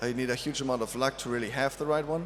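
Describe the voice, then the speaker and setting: Fairly high in pitch, a man speaks with a non-native accent and ordinary pitch variation. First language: not English. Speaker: drinks industry panelist. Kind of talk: panel talk. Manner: halting, many fillers.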